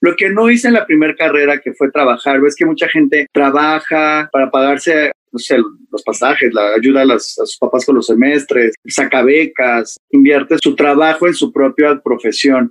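A moderate pace with a Mexico City accent. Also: man, fairly high pitch for a man, ordinary pitch variation, dry, close sound with no echo. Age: 30s. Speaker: hairstylist. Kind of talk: interview.

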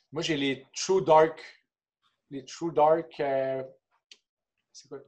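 Flat, monotone intonation with a Quebec accent. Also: man. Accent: Québécois French. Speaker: hockey player and kinesiologist. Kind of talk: casual interview.

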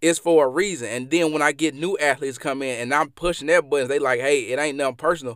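In a very clean recording with a silent background, a man with an American accent and a fairly high pitch speaks at a fairly quick pace. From Mississippi, US South. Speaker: podcast host and former athlete. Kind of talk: solo motivational podcast monologue. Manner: motivational, conversational, with fillers.

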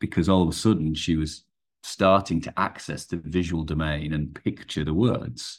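This man has an English accent and ordinary pitch variation. The recording is very clean, with a silent background. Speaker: performance coach. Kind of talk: podcast interview. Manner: fast.

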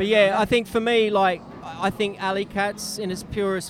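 Noticeable background noise sits under a man speaking at a high pitch. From Australia. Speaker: bike courier and cyclist. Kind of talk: casual chat.

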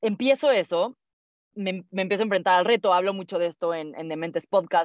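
The delivery is fairly quick, with an animated tone and lively intonation. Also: woman. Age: 20s. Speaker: entrepreneur, founder of an audiobook platform. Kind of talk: casual interview conversation.

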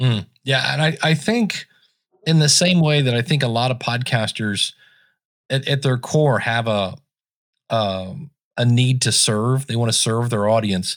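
A man with an unremarkable speaking voice and medium pitch talks at a fairly slow pace with very even loudness. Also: ordinary pitch variation. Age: 50s. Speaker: podcasting consultant and technical trainer. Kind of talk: casual chat. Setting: remote call.

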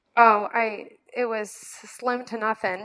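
The speaker has an American accent, and the sound is dry and close with no echo. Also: woman. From US Midwest, northwest Indiana. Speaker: personal trainer and bikini competitor. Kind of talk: casual chat.

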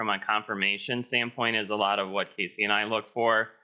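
In an American accent, a man with a medium pitch talks at a fairly quick pace in an ordinary speaking voice. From Pennsylvania. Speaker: dairy farmer and show cattle breeder. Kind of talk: webinar panel discussion.

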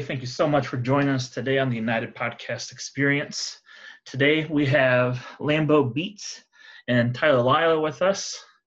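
This man has an ordinary speaking voice, with a fairly high pitch, fairly even intonation and a moderate pace. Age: 30s. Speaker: podcast host. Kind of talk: interview.

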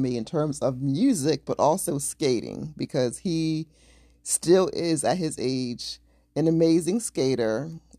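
A woman with a very deep, low pitch and a dark, mellow tone speaks at a fairly slow pace with ordinary pitch variation. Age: 40s. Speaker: podcast co-host. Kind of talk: casual chat. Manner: laughs often.

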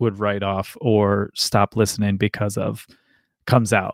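A man with a Midwestern American accent talks at a fairly slow pace in a fairly low voice. The recording is very clean, with a silent background and a dry, close sound free of echo. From US Midwest, north central Ohio. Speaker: podcast host. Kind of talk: casual chat. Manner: halting, many repetitions.

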